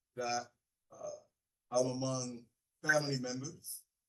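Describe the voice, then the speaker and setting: A man speaks with a Haitian accent at medium pitch. His intonation is monotone and flat. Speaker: pastor. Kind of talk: keynote speech.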